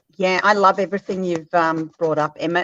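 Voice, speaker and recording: A woman speaks with an Australian accent. Her pitch is fairly low, and the sound is dry and close with no echo. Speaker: caller. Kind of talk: casual chat. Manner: hesitant, many fillers.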